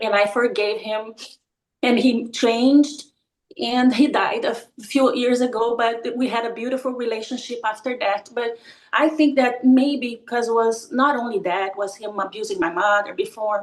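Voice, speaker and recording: A woman with a non-native accent, high-pitched, at a moderate pace. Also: ordinary pitch variation. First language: not English. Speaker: participant. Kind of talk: testimony. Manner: halting.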